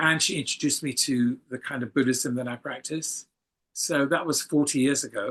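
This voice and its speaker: Here a man with an English accent speaks at a moderate pace and ordinary pitch variation. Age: 70s. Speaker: photographer. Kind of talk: casual interview.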